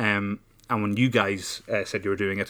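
A man with an Irish accent, very fast-paced, fairly low-pitched, with a bright, sharp tone and monotone, flat intonation. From Ireland. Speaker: podcast co-host. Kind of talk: casual chat. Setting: studio.

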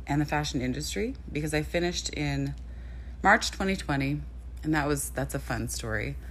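Moderate-paced speech from a woman amid audible room echo. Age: 30s. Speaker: model and podcast host. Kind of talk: casual solo podcast monologue.

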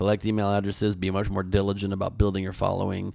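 A man talks at a very fast pace. His pitch is fairly low. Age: 40s. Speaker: comedian. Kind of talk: casual chat.

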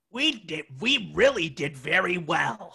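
A man's put-on character voice, pitched high. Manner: pleased.

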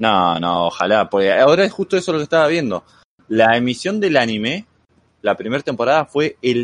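Very wide pitch swings in a dry, close sound with no echo. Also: man. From Argentina. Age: 20s. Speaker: anime fan guest. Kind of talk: casual chat.

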